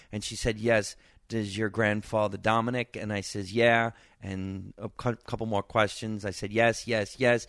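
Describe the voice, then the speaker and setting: Against a quiet background, a man speaks with a New Jersey accent. His fairly low voice stays monotone at a moderate pace. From New Jersey, Scotch Plains. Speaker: stand-up comedian. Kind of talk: casual interview chat.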